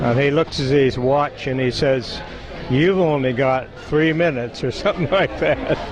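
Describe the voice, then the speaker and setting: Over noticeable background noise, a fairly high-pitched man speaks at a moderate pace with very even loudness and ordinary pitch variation. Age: 70s. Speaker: family member at reunion. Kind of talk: casual chat.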